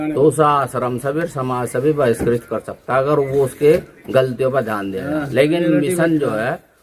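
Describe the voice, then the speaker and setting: A man's unremarkable speaking voice, fairly high in pitch, with ordinary pitch variation. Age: 50s. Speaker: religious leader. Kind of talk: interview.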